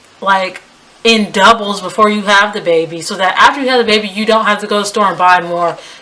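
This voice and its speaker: Over noticeable background noise, a woman with an American accent talks fairly quickly at a medium pitch with fairly even intonation. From US, West Indian family. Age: 20s. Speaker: lifestyle vlogger. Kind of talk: advice vlog. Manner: casual, conversational.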